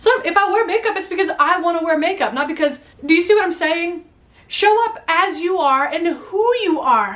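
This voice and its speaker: Against noticeable background noise, a woman with an extremely high pitch talks at a moderate pace with lively intonation. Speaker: YouTuber. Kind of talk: motivational talk to camera. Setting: home attic. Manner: animated; stutters at times.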